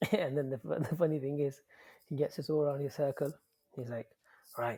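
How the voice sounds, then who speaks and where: A man speaks at a fairly quick pace in a somewhat breathy, fairly high voice. The recording is very clean, with a silent background. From Leicester, England. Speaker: podcast guest. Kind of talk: casual chat. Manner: animated.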